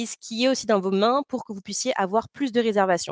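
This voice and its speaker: With ordinary pitch variation, a woman's fairly high voice comes through dry and close, with no echo. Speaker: company representative presenting to boat owners. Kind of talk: webinar presentation. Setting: online webinar. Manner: fast; hesitant, many fillers.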